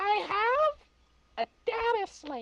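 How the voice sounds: An extremely high-pitched, put-on character voice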